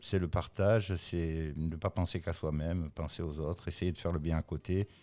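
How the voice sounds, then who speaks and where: Over a silent background in a very clean recording, a man with a very deep, low pitch and a dark, mellow tone speaks at a moderate pace with monotone, flat intonation. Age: 60s. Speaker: business owner. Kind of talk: podcast interview. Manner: hesitant, many fillers.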